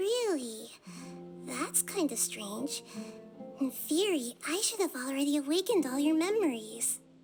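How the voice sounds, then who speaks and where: A woman's put-on character voice, high in pitch, with long, frequent pauses and clear music in the background. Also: moderate pace. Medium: game stream.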